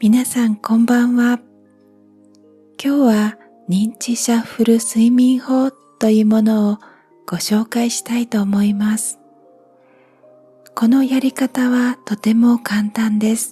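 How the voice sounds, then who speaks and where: Over music in the background, the speech moves very slowly with long, frequent pauses. The intonation stays flat and monotone. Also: woman, fairly high pitch for a woman, dry, close sound with no echo. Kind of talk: sleep-inducing guided relaxation reading. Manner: slow, soft-spoken.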